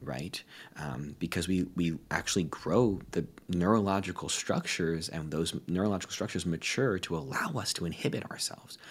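With an American accent, a man speaks in a very deep, low voice. His pace is fairly quick, and his pitch variation is ordinary. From United States. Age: 20s. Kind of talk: interview.

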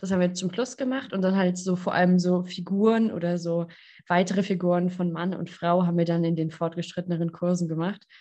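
Here a woman talks at a fairly quick pace. Her voice is fairly low, with a dark, mellow tone. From southwest Germany, Lörrach area. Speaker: podcast host, physiotherapist and coach. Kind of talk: casual interview chat. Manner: animated.

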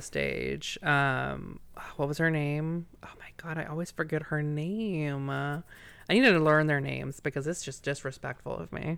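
A man with a slight Southern US accent speaks at a fairly slow pace. His fairly high voice has a bright, sharp tone and fairly even intonation. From Virginia, US. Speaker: podcast host. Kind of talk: casual banter, podcast recap. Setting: live recording, podcast.

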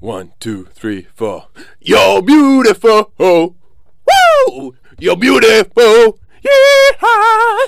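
A man shouting at a very slow pace, with big swings in loudness. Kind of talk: radio DJ patter, scripted-sounding station ID and banter with co-host.

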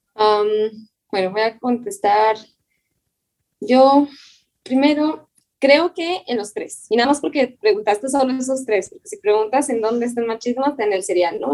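A woman with a normal speaking voice talks at a fairly slow pace, her fairly high pitch carrying lively intonation. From Chihuahua, northern Mexico. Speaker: dermatologist and former pastor. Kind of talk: casual interview conversation.

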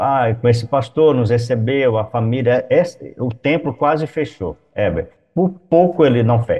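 Somewhat breathy, a man speaks fairly slowly at a medium pitch with ordinary pitch variation. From Brazil, Goiás. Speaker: missionary pastor. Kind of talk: interview.

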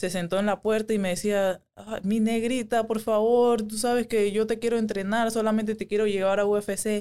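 With a dark, mellow tone and a fairly high pitch, a woman speaks in a monotone, flat intonation. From Panama, Panama City area. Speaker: MMA fighter. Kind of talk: casual chat.

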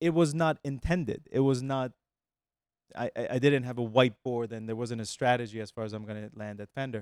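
A man with a plain, everyday voice talks at a fairly quick pace and medium pitch, with ordinary pitch variation and big swings in loudness, on a very clean, dry, close recording with a silent background and no echo. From Iran and US (born in Texas, childhood in Iran). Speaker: music company lawyer and executive. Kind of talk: interview. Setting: studio.

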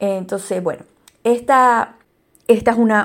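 The woman's intonation stays fairly even. She talks at a fairly slow pace. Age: 40s. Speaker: podcast host, digital copywriter. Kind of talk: educational monologue. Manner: halting, many repetitions and fillers.

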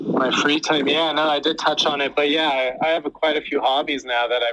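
The speaker has an American accent and a monotone, flat intonation. Noticeable background noise runs underneath. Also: man. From California. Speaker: retired pro soccer player. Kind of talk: interview.

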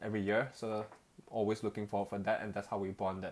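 A man's fairly low-pitched voice comes through on a very clean recording against a silent background. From Malaysia. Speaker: podcast co-host.

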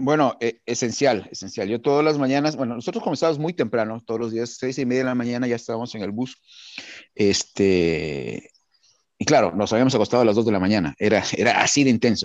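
At a fairly quick pace, a man speaks in a plain, everyday voice, medium in pitch with ordinary pitch variation. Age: 40s. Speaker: cooking show contestant and yoga practitioner. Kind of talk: casual interview.

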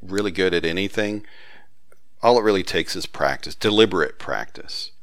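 A man talks in a Southern US accent with ordinary pitch variation. His pace is moderate. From US South. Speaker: author and database expert. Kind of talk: casual interview conversation.

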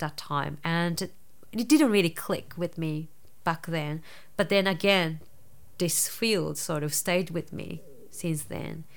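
In a Japanese accent, a woman speaks at a very slow pace with long, frequent pauses. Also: fairly low pitch for a woman, fairly even intonation. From Japan, rural Nara. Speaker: dance psychotherapist. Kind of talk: interview. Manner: halting.

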